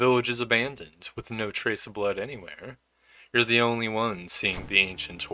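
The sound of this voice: An unforced reading voice with fairly even intonation, set against a quiet background.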